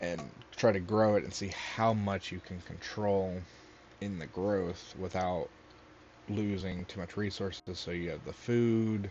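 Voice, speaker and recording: This man mumbles at a fairly slow pace in a very deep, low voice. He leaves long, frequent pauses, and his intonation stays fairly even. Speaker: gaming youtuber. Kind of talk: casual gameplay commentary. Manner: mumbling.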